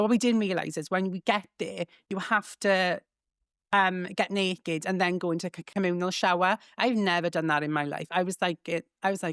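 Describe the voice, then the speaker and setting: A woman with a Welsh accent at medium pitch and a fairly quick pace, in a very clean, silent, dry and close recording with no echo. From Wales. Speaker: comedian and social media creator. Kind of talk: casual chat. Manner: camp delivery; animated.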